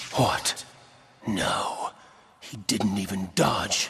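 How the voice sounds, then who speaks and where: A man puts on a cartoonish character voice. It sits fairly low. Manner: measured, intense.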